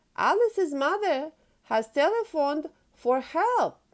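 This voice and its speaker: Putting on a character voice, a woman speaks at a fairly slow pace. Her pitch is extremely high and squeaky. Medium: read story. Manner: cheerful, eager.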